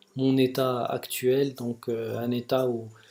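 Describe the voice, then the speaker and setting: A soft-spoken man at medium pitch, dark and mellow in tone, with monotone, flat intonation. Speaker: vlogger sharing personal experience of depression. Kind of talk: personal video monologue. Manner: slow, soft articulation; halting, many repetitions and hesitations.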